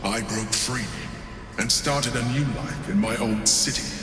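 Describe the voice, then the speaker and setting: A cartoonish character voice goes at a moderate pace amid loud background noise, with a slight echo. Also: man, medium pitch for a man. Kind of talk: video game character dialogue. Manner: measured, composed, persuasive.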